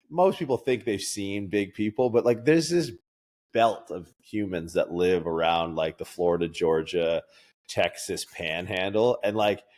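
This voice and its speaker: A plain, everyday voice from a man with a Canadian accent, fairly low and lively in intonation, at a fairly slow pace, on a very clean recording with a silent background. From Canada. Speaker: strength coach and podcaster. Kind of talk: casual chat.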